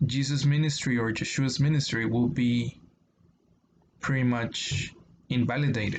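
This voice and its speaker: A man with a Spanish accent speaks at a medium pitch, his intonation fairly even. His voice is somewhat breathy. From Mexico. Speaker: YouTuber discussing religion. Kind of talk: casual explanatory monologue. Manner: halting, many fillers.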